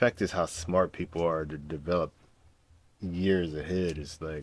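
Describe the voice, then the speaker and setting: With an American accent, a man speaks at a moderate pace in a very deep, low pitch, his intonation fairly even but his loudness swinging widely. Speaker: YouTuber reacting to a video. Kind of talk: casual reaction commentary. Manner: casual, rambling delivery.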